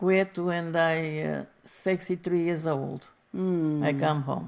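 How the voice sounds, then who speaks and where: A woman speaks at a fairly low pitch in a Portuguese accent. Her intonation stays fairly even. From Portugal. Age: 80s+. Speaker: retired factory seamstress. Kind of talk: interview answer.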